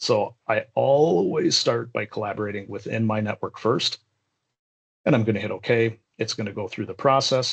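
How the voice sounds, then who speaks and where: A man with a medium-pitched, somewhat breathy voice speaks at a moderate pace with ordinary pitch variation, in a dry, close sound with no echo. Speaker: software trainer. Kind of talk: live tutorial. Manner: casual.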